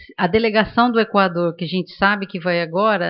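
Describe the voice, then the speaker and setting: Speaking at a moderate pace with a São Paulo accent, a woman keeps her intonation fairly even. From Brazil, São Paulo. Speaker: panelist at demography seminar. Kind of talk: panel discussion. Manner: many filler hesitations.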